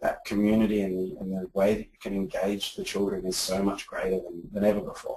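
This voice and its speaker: The speaker is a man with an Australian accent. He talks at a moderate pace. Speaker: edtech founder, former teacher. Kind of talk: interview. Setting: office. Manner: halting, many repetitions.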